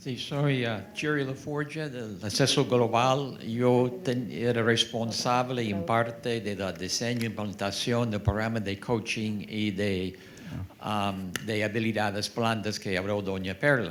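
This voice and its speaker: Very slowly and at medium pitch, a man with an English accent speaks with ordinary pitch variation, heard through audible room echo and noticeable background noise. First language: English (speaking Spanish). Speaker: public health program designer. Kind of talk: panel discussion. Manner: halting, hesitant.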